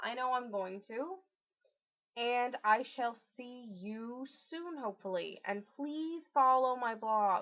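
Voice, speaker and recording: A loud woman's voice, high in pitch, at a very slow pace with ordinary pitch variation. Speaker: video blogger. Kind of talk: casual vlog. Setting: at home alone.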